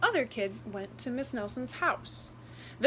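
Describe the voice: Someone reads aloud plainly. Pitch variation stays ordinary.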